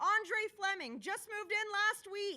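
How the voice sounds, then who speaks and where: A loud, shouting woman in a put-on character voice, extremely high in pitch, at a fairly slow pace. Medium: read story. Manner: shouting, too loud.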